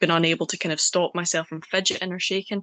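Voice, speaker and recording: In a Scottish accent, a woman with a fairly low pitch speaks at a fairly quick pace, the sound dry and close with no echo against a quiet background. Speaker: poet. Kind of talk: interview.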